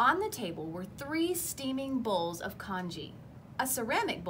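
Natural-voiced reading aloud

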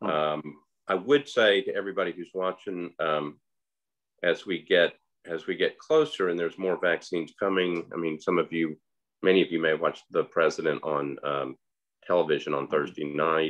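Quiet surrounds the recording. A man talks at a moderate pace. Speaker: host of community talk. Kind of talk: interview host remarks. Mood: earnest, cautionary. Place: home room. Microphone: video call.

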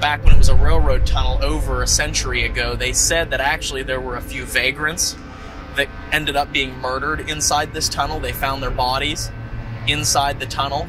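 Music plays in the background while a man talks at a moderate pace. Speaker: paranormal show host. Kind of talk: on-location presentation. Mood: animated storytelling. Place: open country. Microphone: lapel.

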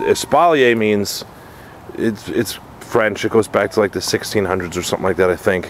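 Moderate pace from a man, light noise behind, dry sound with no echo. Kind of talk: casual tutorial. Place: garden. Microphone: phone near.

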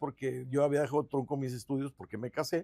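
A man's dark, mellow voice at a fairly quick pace, dry with no echo, against a quiet background. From Guadalupe, Nuevo León, Mexico; Nuevo León, Mexico. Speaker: mayoral candidate, lawyer; candidate, lawyer. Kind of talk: interview. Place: studio. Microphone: lapel.

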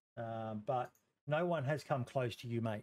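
A man speaks with an Australian accent. His pace is fairly slow. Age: 40s. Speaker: podcast host. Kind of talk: casual interview. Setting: live stream. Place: home room.

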